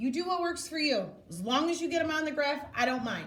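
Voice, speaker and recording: A woman speaks in a raised, projected voice with a bright, sharp tone. Audible room echo surrounds her. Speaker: elementary school math teacher. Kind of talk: classroom instruction.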